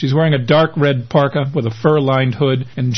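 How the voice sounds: The voice reads naturally. Intonation stays fairly even.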